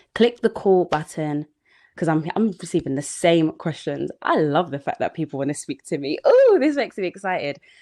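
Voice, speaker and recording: A woman talks at a fairly low pitch in a dark, mellow tone. The background is quiet. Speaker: sales coach. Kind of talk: live online training. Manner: jittery.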